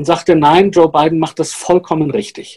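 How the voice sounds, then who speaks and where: A man is speaking. His pitch is high. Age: old. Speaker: journalist co-host. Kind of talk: casual chat.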